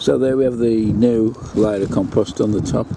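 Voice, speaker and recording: Noticeable background noise accompanies this man as he talks. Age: 60s. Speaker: allotment gardener. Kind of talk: casual video narration.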